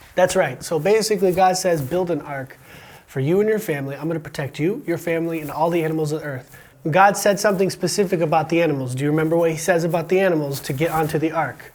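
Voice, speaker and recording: Someone with an American accent talks at a very fast pace. The pitch variation is ordinary, and background noise is noticeable. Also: man, high pitch for a man. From USA. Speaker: podcast host and teacher. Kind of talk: casual educational interview. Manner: animated.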